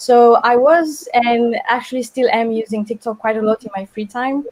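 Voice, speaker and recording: A high-pitched woman with a Romanian accent, ordinary pitch variation and a moderate pace, in a dry, close sound with no echo. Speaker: design intern. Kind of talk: webinar panel talk. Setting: live webinar, video call.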